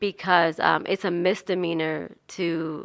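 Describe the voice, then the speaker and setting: A woman with a New Jersey accent speaks at a fairly low pitch, with vocal fry and a bright, sharp tone. Her intonation is monotone and flat, and the recording is very clean with a silent background. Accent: New Jersey accent, clearly there. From New Jersey, US. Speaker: nonprofit founder and activist. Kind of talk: radio interview. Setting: radio studio.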